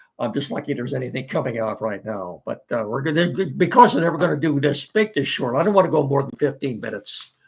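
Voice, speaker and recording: Rushing along at a very fast pace with hardly any pauses, a man with a fairly high, somewhat breathy voice uses lively intonation. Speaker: sports talk show host. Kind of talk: casual sports talk. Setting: studio.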